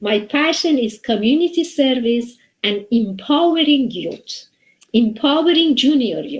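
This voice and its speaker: A woman with a Persian accent, high in pitch, lively in intonation, at a fairly slow pace. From Iran. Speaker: software developer and community volunteer. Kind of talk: interview. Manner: halting.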